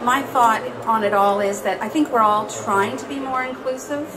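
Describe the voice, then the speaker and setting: There is noticeable noise in the background. The woman talking keeps a moderate pace. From Canadian prairies. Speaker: poet. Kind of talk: panel discussion. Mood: thoughtful, calm. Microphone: handheld.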